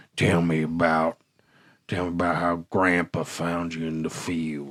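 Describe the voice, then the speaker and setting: In a put-on character voice, a man speaks with a very deep, low pitch, monotone, flat intonation and a moderate pace. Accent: Southern US. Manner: low, dropped pitch, simple.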